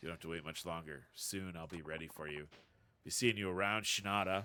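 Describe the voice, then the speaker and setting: Putting on a character voice, a man sounds raspy with a very deep, low pitch, fairly even intonation and a fairly quick pace. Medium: game stream. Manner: calm, confident.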